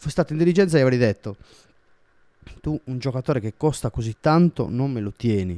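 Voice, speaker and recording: With lively intonation and an animated tone, a man speaks at medium pitch and a fairly quick pace in a very clean recording with a silent background and a dry, close sound with no echo. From Sardinia, Italy. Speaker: football YouTuber. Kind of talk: casual vlog commentary.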